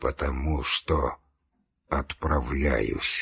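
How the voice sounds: In a put-on character voice, a man speaks at an extremely low pitch and very slow pace, hoarse, breathy and husky with a rough edge, vocal fry and a fairly bright tone, with ordinary pitch variation.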